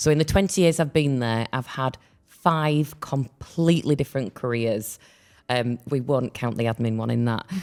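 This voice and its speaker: The speech goes at a moderate speed, its pitch shifting in an ordinary way, captured in a very clean recording against a silent background. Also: woman, very deep, low pitch for a woman. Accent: Yorkshire. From Yorkshire, northern England. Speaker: podcast co-host. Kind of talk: casual chat.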